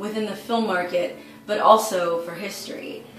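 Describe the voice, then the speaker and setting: A woman speaks at a moderate pace with ordinary pitch variation. Clear music plays in the background, and the room echo is audible. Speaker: actress. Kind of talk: crowdfunding appeal to camera. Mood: warm, upbeat, smiling. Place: home room.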